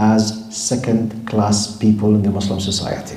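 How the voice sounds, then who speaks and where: A man's fairly low voice in an Arabic accent, fairly slow pace, audible room echo and noticeable background noise. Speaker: Islamic scholar and lecturer. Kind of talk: lecture. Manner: animated.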